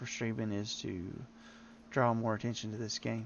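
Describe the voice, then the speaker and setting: Speaking with a strong Southern US accent, a man at medium pitch keeps a fairly slow pace and fairly even intonation. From Tennessee, US South. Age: old. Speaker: game streamer. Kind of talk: live gameplay stream chat. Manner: halting.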